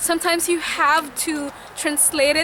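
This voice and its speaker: Noticeable background noise runs under a woman's raised, projected voice. She speaks at a moderate pace with a Visayan Filipino accent. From Philippines, Visayas. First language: Bisaya. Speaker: nurse. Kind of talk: interview testimony.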